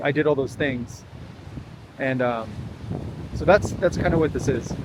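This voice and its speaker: With a Californian accent, a man talks at a moderate pace and medium pitch, his intonation fairly even over noticeable background noise. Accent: General American (Californian). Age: 40s. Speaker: vlogger. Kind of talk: casual vlog monologue. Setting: outdoors walk at a beach. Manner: halting, many fillers and repeats.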